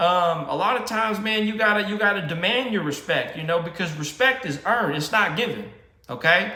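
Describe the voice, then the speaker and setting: Over noticeable background noise and audible room echo, a man speaks in a raised, projected voice with a high pitch and ordinary pitch variation. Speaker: vlogger. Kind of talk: casual motivational monologue. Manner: halting, many repetitions and fillers; informal, slangy.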